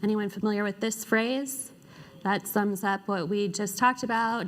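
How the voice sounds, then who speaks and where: Fairly even intonation and a moderate pace from a woman, a normal speaking voice at a medium pitch. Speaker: conference speaker. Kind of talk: conference talk. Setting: stage with audience.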